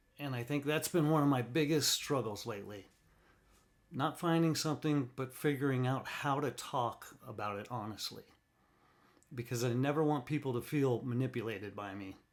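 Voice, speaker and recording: A man's unremarkable speaking voice at a medium pitch, with ordinary pitch variation. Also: moderate pace. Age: 50s. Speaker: retired studio truck driver. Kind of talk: casual podcast monologue. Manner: candid, reflective.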